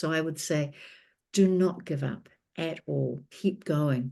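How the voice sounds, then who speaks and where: A woman speaks in a New Zealand accent, her tone dark and mellow, her pitch fairly low with ordinary variation. The background is quiet. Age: 60s. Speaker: author and documentary filmmaker. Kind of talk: interview.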